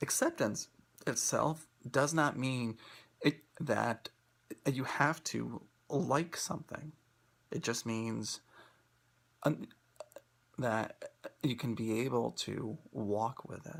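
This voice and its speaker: A man with vocal fry talks at a very slow pace, with long, frequent pauses. His pitch is medium, with ordinary variation. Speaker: academic speaker who stutters. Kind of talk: prepared talk. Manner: halting, many fillers and repetitions.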